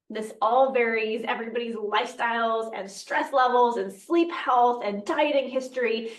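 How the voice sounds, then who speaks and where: A woman's high-pitched voice with fairly even intonation and audible room echo. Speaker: nutrition podcast host. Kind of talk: casual educational podcast talk.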